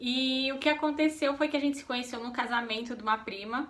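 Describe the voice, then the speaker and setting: With noticeable background noise behind her, a woman speaks at a moderate pace in a high pitch with fairly even intonation. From São Paulo state, Brazil. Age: 30s. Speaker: vlogger. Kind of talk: casual chat.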